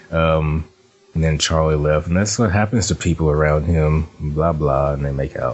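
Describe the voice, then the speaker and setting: Over noticeable background noise, a man with a very deep, low voice talks at a moderate pace, with fairly even intonation and very even loudness. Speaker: podcast host. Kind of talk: casual chat.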